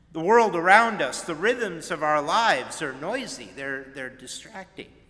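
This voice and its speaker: Speaking at a fairly slow pace, this voice makes very wide swings in pitch. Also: man. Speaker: minister giving a sermon. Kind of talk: church sermon.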